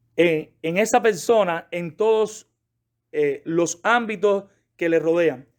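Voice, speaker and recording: In a very clean recording with a silent background, a man with a Cuban accent speaks at a high pitch with ordinary pitch variation. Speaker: pastor. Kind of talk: sermon-style Bible class lecture. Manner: fast.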